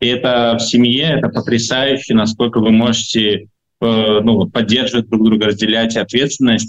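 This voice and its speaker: At a moderate pace, a man with a medium pitch keeps a monotone, flat intonation and very even loudness. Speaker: foster father. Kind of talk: interview. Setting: hospital, remote call. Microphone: noisy connection.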